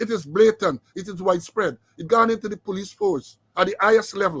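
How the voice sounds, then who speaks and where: At a fairly quick pace, the speaker sounds animated, with a dry, close sound and no echo. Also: man, high pitch for a man, ordinary pitch variation, big swings in loudness. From Guyana. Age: 60s. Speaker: retired police officer and online show host. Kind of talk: political commentary and reading a letter aloud.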